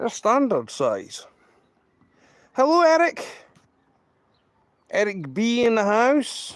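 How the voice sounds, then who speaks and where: A man talks at a very slow pace. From Scotland. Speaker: live streamer, train spotter. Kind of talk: live stream commentary. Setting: outdoors. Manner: casual, chatty.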